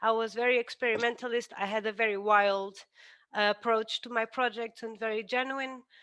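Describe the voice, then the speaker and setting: A woman with a Portuguese accent speaks at a fairly high pitch in a bright, sharp tone. Her intonation is monotone and flat, and the background is quiet. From Portugal. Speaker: architect; guest lecturer. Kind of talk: lecture. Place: home room. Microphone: headset.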